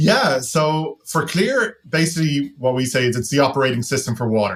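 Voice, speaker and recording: Speaking with a slight Irish accent, a man with a fairly high pitch and a somewhat breathy voice talks at a moderate pace with ordinary pitch variation. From Ireland. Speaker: tech company founder and CEO. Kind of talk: podcast interview.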